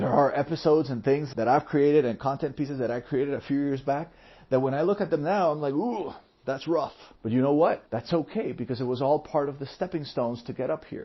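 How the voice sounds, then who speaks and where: This man talks very fast in a Spanish accent. His pitch is fairly high. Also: ordinary pitch variation. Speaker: podcast host, entrepreneur. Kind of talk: solo podcast monologue.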